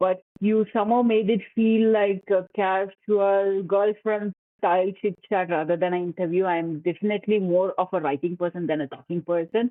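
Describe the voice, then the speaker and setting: A woman speaks with a Tamil accent, hardly pausing at all. Her loudness stays very even and her intonation is fairly even. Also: medium pitch for a woman, moderate pace. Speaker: author. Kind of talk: podcast interview. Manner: calm.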